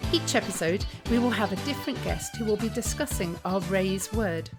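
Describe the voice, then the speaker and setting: A woman talks at a moderate pace while music runs behind her. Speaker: podcast host. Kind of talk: podcast hosting.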